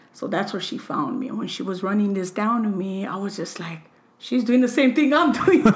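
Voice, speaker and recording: Amid audible room echo and noticeable background noise, a woman with an American accent talks at a fairly high pitch with lively intonation. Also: moderate pace. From Los Angeles, California. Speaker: interview guest. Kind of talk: casual chat. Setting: at home.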